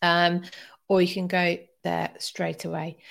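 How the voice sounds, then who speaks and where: Someone talks at a very slow pace in an English accent. The recording is very clean, with a silent background. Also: woman. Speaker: history podcast host. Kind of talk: live stream chat. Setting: live stream at home.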